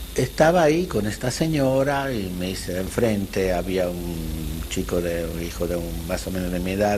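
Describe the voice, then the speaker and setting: A man speaks with a very deep, low pitch. Noticeable background noise and audible room echo surround his voice. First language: not Spanish, Central European language (speaking Spanish). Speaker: Holocaust survivor. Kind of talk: testimony interview. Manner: halting, with repetitions.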